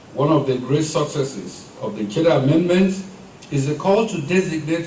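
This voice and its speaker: Speaking at a fairly quick pace with ordinary pitch variation, a man is heard through audible room echo and noticeable background noise. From Nigeria. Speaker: maritime security official. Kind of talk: formal speech. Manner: formal.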